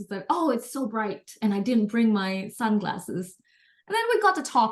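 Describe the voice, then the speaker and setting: Her pitch fairly high and swinging very widely, a woman with an American accent speaks at a moderate pace. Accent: often taken for American. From Indonesia (Jakarta). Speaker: entrepreneur. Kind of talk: interview conversation.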